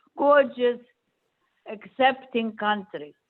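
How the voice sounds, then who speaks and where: A woman talks in a high pitch with ordinary pitch variation. She has a non-native accent. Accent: foreign. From Poland. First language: not English. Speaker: Holocaust survivor speaker. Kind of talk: Q&A answer to students.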